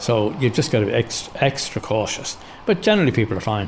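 A man rushes along at a very fast pace in an Irish accent amid noticeable background noise. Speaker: commuter cyclist. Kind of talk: interview.

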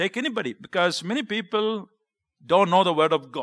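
With an Indian accent, the speaker talks at a moderate pace with lively intonation and a bright, sharp tone. The background is quiet. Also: man, dry, close sound with no echo. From South India (Kerala). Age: 50s. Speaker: visiting preacher and missionary. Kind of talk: sermon. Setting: church.

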